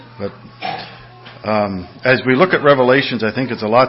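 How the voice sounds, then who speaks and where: Over music in the background, a man talks at a moderate pace at medium pitch with ordinary pitch variation. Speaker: church pastor leading service, announcements. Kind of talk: church announcements and prayer. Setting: church.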